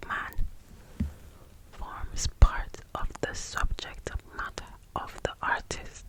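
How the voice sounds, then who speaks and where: A whisper at a very slow pace, against noticeable background noise. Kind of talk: soft whispered book reading, ASMR. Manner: whispered, soft-spoken.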